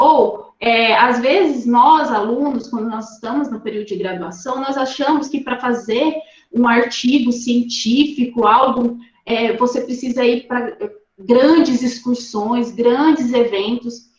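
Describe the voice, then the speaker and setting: Amid audible room echo, a woman speaks at a very slow pace with a high pitch. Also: ordinary pitch variation. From Rondônia, Brazil. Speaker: ornithologist, guest lecturer. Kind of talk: online lecture. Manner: animated.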